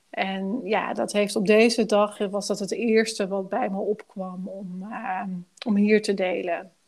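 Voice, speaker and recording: Here a woman speaks at a very slow pace. Her pitch is medium and her intonation fairly even. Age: 40s. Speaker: life coach. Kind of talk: casual interview.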